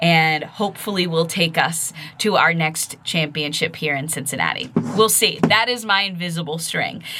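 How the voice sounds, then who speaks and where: Her tone is bright and sharp, at a fairly low pitch for a woman. She talks at a moderate pace with ordinary pitch variation. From Massachusetts (central, near Worcester). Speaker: podcast host, audio influencer. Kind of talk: casual solo podcast monologue. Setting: home studio. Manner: chatty, with fillers and self-corrections.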